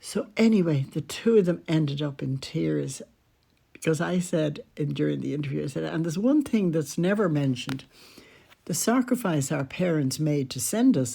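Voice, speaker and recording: A woman's very deep, low voice in a dark, mellow tone with an Irish accent, on a very clean recording with a silent background. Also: lively intonation, moderate pace. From Ireland. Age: 80s+. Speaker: podcaster. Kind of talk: storytelling. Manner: conversational.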